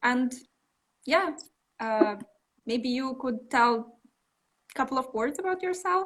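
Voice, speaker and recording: A woman with a high pitch speaks at a fairly slow pace with lively intonation. Long, frequent pauses break up her speech. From Belarus. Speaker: interviewer for au pair platform. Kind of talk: live interview. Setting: Instagram live video call.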